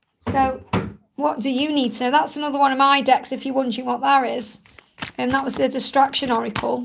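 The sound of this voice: Putting on a character voice, a woman talks fast-ish at a high pitch, croaky and raspy, with fairly even intonation.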